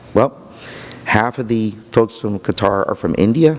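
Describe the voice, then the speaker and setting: A man talks here. Noticeable background noise runs behind him. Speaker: county economic development official. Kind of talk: conference talk. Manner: halting, repeats words.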